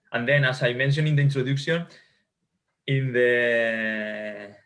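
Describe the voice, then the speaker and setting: The speaker has a Spanish accent and talks at a moderate pace with ordinary pitch variation. The recording is very clean, with a silent background. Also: man. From Spain. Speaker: futsal coach and sports scientist. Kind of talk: interview.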